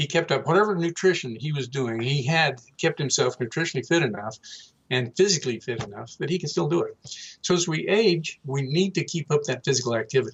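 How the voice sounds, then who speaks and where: A man talks at a fairly quick pace with lively intonation. His fairly high-pitched voice sounds somewhat breathy. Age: 60s. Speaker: health and nutrition expert. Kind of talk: interview.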